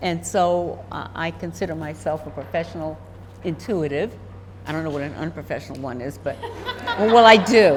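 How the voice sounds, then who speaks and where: Over noticeable background noise and audible room echo, a woman speaks at a moderate pace with lively intonation and big swings in loudness. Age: 80s+. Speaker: professional intuitive, retired university vice president. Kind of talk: casual interview.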